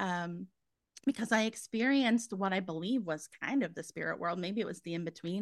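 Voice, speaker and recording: A woman with a Canadian accent speaks in a plain, everyday voice at a fairly low pitch. Her pace is fairly quick, with ordinary pitch variation. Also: very clean recording, silent background. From Canada. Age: 40s. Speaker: psychic medium. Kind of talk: interview.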